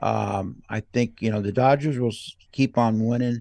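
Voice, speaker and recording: A man speaks at a medium pitch with ordinary pitch variation. The sound is dry and close with no echo, over a quiet background. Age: 60s. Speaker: baseball show host. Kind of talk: casual chat. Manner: halting.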